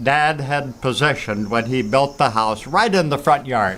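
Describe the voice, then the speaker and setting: With noticeable background noise behind him, a man speaks in a fairly high pitch with a German accent. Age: 80s+. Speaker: retired father and grandfather. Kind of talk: interview answer. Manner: reflective, storytelling.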